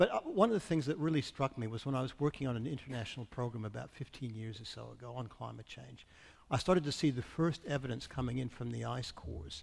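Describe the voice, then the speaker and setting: A man with an American accent talks at a very fast pace, his voice medium in pitch and somewhat breathy. His pitch varies in an ordinary way, while his loudness swings widely. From US Midwest, Iowa. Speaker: climate scientist. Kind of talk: panel discussion.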